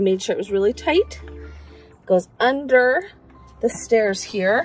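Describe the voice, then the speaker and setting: Faint music plays behind a woman who speaks at a fairly slow pace, the sound dry with no echo. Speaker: home DIY blogger. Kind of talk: tutorial. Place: garden. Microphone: phone near.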